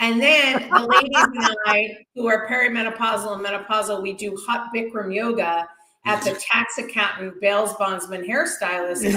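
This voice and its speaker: A woman speaks with a Boston accent and ordinary pitch variation. She barely pauses. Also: fairly high pitch for a woman, moderate pace. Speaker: stand-up comedian. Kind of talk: stand-up.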